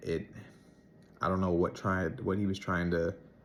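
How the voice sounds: At a moderate pace, a man speaks with a low pitch and little pitch movement.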